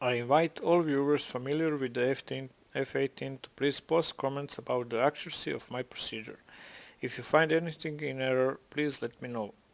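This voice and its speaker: Speaking at a fairly quick pace, a man with a Balkan accent uses a medium pitch and fairly even intonation. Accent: Slavic (Serbo-Croatian) accent in English. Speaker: flight sim gamer / tutorial maker. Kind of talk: tutorial. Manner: measured, instructional.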